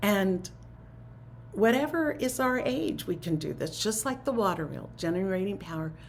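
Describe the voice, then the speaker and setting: A woman speaks at a moderate pace and medium pitch, her voice making very wide pitch swings, with audible room echo around her. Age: 70s. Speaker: spiritual teacher. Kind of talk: talk to a spiritual community. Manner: conversational.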